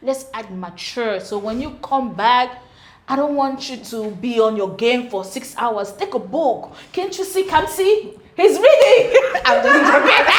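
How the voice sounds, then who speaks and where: With a strong Cameroonian accent, a woman speaks fairly slowly at a high pitch, with very wide pitch swings, big swings in loudness and audible room echo. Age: 20s. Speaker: dating panel guest. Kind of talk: casual chat.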